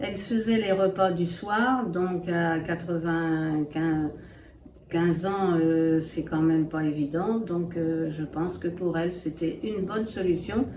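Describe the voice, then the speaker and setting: A woman with a fairly low pitch speaks at a very slow pace, with ordinary pitch variation. Audible room echo surrounds her voice. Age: 80s+. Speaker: interviewee, daughter of a host family member. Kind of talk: testimony. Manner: hesitant, many filler pauses.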